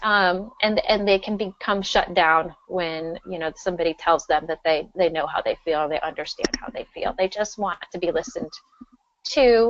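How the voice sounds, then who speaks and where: This woman has an unremarkable speaking voice, medium in pitch, with ordinary pitch variation at a moderate pace. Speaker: school psychologist. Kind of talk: webinar presentation. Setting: webinar.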